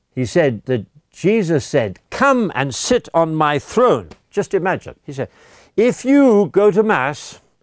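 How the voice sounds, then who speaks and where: In an English accent, a man speaks at a very slow pace with a high pitch and very wide pitch swings. The recording is very clean and dry, close with no echo, over a silent background. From England. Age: 80s+. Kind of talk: language lesson / religious teaching. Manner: animated; halting, repeats words.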